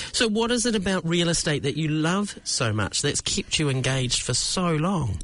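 A man's fairly high voice in a New Zealand accent, at a moderate pace with hardly any pauses, very wide pitch swings and very even loudness, over noticeable background noise. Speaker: podcast host. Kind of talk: casual interview chat. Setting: studio.

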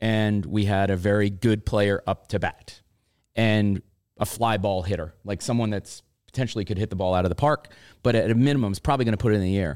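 The intonation is fairly even and the pace is fairly quick, in a normal speaking voice. The recording is very clean, with a silent background. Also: man. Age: 50s. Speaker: softball podcast co-host and coach. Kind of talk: casual chat.

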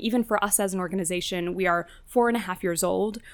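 A woman speaks at a medium pitch with a New Jersey accent. She talks very fast, and her intonation stays fairly even. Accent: American (New Jersey). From US, New Jersey. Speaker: counter-extremism tech founder. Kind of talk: interview conversation.

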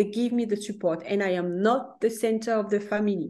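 Over a quiet background, a woman with a French accent speaks at a moderate pace in a fairly high voice with a dark, mellow tone. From France. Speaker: career coach. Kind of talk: interview. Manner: halting.

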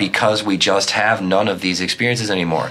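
Bright and sharp in tone, a man with an American accent speaks at a fairly low pitch with ordinary pitch variation. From US small town. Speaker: podcast host. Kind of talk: casual chat; scripted intro. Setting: studio.

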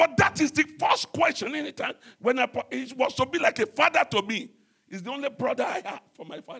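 A man speaks in a raised, projected voice at an extremely high pitch, his pitch swinging very widely and his loudness rising and falling sharply at a fairly quick pace, with music playing in the background. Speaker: pastor. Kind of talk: sermon. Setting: church.

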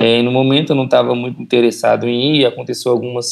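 This is a man speaking at a medium pitch. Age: 20s. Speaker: church member. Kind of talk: testimony.

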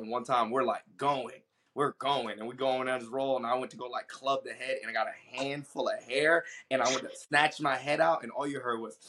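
This man has a plain, everyday voice with an American accent. He talks at a moderate pace with fairly even intonation. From New York, then Georgia. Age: 30s. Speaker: MMA fighter. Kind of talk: casual chat.

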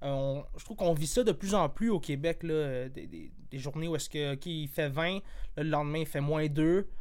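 A man with a fairly high pitch talks at a moderate speed, and audible room echo can be heard. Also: ordinary pitch variation. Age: 20s. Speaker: podcast host. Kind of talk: casual chat.

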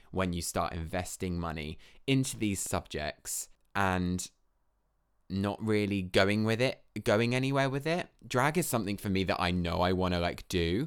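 In a southern English accent, the speaker talks at a moderate pace with lively intonation on a very clean recording with a silent background. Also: man, fairly low pitch for a man. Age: 20s. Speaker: podcast host, dancer and drag queen. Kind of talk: casual solo monologue. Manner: chatty, filler-heavy.

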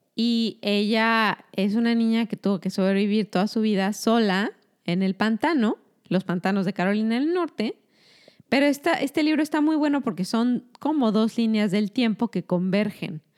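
In a normal speaking voice, a woman talks at a moderate pace with a fairly high pitch and lively intonation, the sound dry and close with no echo on a very clean recording against a silent background. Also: very even loudness. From Mexico. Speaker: doctor. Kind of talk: casual chat.

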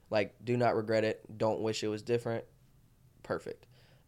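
The recording is very clean with a silent background as a man with an Alabama accent speaks at medium pitch and a moderate pace. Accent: Southern US (Alabama). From Alabama, Tuscaloosa. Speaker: social media personality and marketing business owner. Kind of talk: casual chat.

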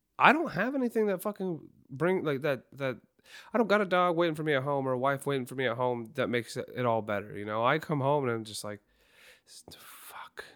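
A man with a normal speaking voice and a fairly high pitch talks at a fairly quick pace, with lively intonation and big swings in loudness. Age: 20s. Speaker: podcast co-host and telephone line worker. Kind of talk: casual chat.

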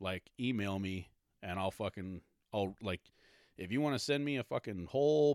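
This man has a normal speaking voice, fairly low in pitch, with lively intonation. The sound is dry and close with no echo, on a very clean recording with a silent background. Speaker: podcast host. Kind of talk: solo podcast rant, casual and profane. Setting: home basement, alone at a microphone. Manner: angry, foul-mouthed, venting, cursing freely, dismissive and sarcastic; filler-heavy, rambling, clearing throat often, stop-start delivery.

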